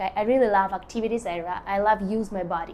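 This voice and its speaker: A woman's medium-pitched, dark, mellow voice with fairly even intonation and a non-native accent. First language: not English. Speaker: artist and lifestyle vlogger. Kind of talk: casual talk to camera. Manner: halting, with many fillers.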